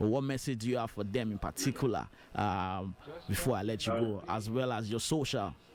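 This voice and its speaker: Speaking with a Nigerian accent, a man keeps a medium pitch with ordinary pitch variation. His pace is fairly quick. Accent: Nigerian accent, unchanged. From Nigeria (Lagos, Yoruba). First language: Yoruba. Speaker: radio host. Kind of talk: radio interview.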